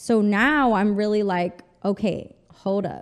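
At a very slow pace, a woman talks in a medium-pitched voice. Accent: Spanish. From El Paso, Texas (US-Mexico border). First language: Spanish. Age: 30s. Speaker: fashion stylist and consultant. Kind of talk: casual interview chat. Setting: studio.

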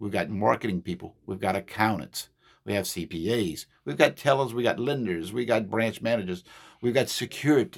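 Speaking at a moderate pace, a man uses lively intonation at a medium pitch, with vocal fry. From South Louisiana (Terrebonne/Lafourche area). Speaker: bank area manager. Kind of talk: casual interview.

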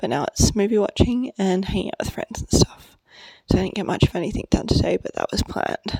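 Soft-spoken and fairly quick, a woman at medium pitch talks with very wide pitch swings, the sound dry and close with no echo. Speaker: podcast host. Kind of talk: casual monologue. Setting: at a friend's house.

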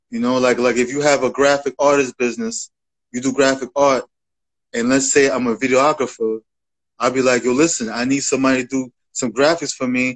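A man with an American accent at medium pitch and a fairly quick pace, with monotone, flat intonation and a quiet background. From Bronx, New York. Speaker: music promoter and reviewer. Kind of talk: casual interview. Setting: Instagram Live. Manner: halting, repetitive.

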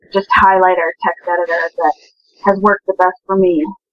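With an American accent, a woman talks at a moderate pace and medium pitch. She has an unremarkable speaking voice. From Minnesota. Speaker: game programmer. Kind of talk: casual chat. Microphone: poor mic, may sound quiet.

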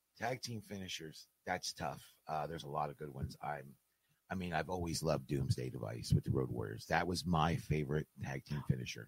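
A man with a very deep, low pitch talks at a fairly quick pace with lively intonation and vocal fry. The sound is dry and close, with no echo. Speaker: wrestling manager and fan. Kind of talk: casual chat. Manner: quiet; soft-spoken.

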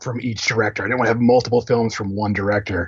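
With an American accent, the speaker sounds somewhat breathy. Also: man. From Philadelphia, US. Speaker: film critic. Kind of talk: casual chat.

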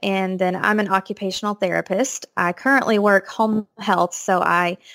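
A woman speaks at a medium pitch with a Texan accent. Her pitch varies in an ordinary way, and the sound is dry and close with no echo. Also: very clean recording, silent background. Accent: Texan American. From East Texas. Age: 20s. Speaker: occupational therapist, expectant mother. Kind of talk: casual interview.

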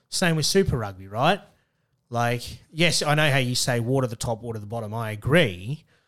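With an Australian accent, a man speaks fairly quickly in a medium pitch and lively intonation on a very clean recording with a silent background. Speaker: podcast co-host, rugby commentator. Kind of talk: casual chat. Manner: animated.

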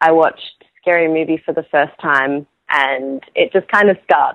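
A woman speaks in an Australian accent with a bubbly tone. Her pitch varies in an ordinary way. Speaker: actress. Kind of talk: interview. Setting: remote call with delay.

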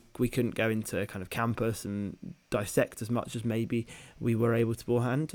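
Someone speaks at a fairly quick pace in a British accent. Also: man. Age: 20s. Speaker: medical student podcast co-host. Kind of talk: casual chat.

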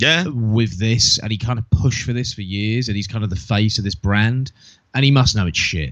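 A man with a British accent talks at a moderate pace. His medium pitch shows ordinary variation. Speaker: wrestling podcast co-host. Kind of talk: casual chat.

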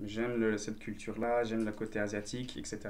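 A man with a fairly low voice talks while audible echo fills the room. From Belgium. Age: 20s. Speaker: dancer and martial arts teacher. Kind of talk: casual chat.

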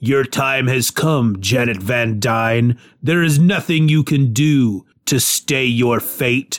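A man puts on a character voice. He speaks at a fairly slow pace with medium pitch. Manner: ominous, menacing.

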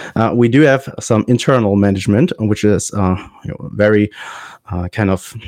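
A man with a German accent speaks at a fairly low pitch and a moderate pace, with ordinary pitch variation. The sound is dry and close, with no echo. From Germany. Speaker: high school English teacher, podcast host. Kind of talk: casual chat. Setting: video call. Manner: halting.

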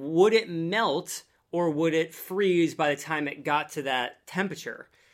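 A fairly high-pitched male voice at a fairly slow pace, with ordinary pitch variation. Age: 30s. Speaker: science content creator. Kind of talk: casual chat. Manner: animated.

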